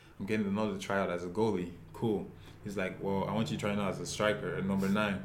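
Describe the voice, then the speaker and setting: Very fast, monotone delivery with flat intonation and audible room echo. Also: man, fairly low pitch for a man. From Nigeria, Lagos. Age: 20s. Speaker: professional soccer player. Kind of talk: interview.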